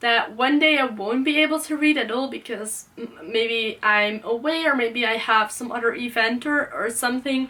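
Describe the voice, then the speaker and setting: In a raised, projected voice with a Dutch accent, the speaker talks at a moderate pace with lively intonation. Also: woman. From Netherlands. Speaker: book youtuber. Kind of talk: casual vlog talk. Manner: hesitant, many fillers.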